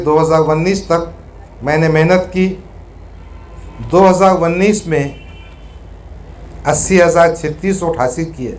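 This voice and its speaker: Audible room echo surrounds a man who speaks in a high pitch with fairly even intonation. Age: 60s. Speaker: politician. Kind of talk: reading aloud. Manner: formal.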